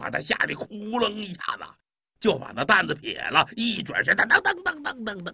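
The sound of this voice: Quiet surroundings and an unforced reading voice.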